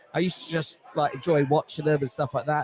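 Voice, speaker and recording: A man's fairly high-pitched voice with noticeable background noise. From England, London. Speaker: sports fan. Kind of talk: casual interview.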